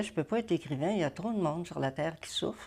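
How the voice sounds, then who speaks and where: Speaking at a fairly quick pace, a woman with a fairly low pitch and a dark, mellow tone uses lively intonation, on a very clean recording with a silent background. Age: 90s. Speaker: retired family therapist and social worker. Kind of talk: interview. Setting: at her home.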